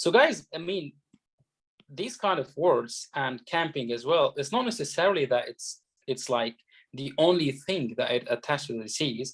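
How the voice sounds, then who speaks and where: The man's pitch is fairly high. It moves in very wide swings. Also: moderate pace. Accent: Arabic. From Egypt. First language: Arabic. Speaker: doctor and medical exam tutor. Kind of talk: lecture. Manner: halting, many fillers.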